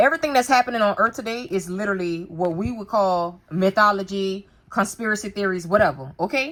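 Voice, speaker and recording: A woman in an animated tone, fairly quick pace and lively intonation, hardly any pauses, very clean recording with a silent background. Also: medium pitch for a woman. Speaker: religious vlogger. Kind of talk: casual talk to camera, book show-and-tell. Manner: fast.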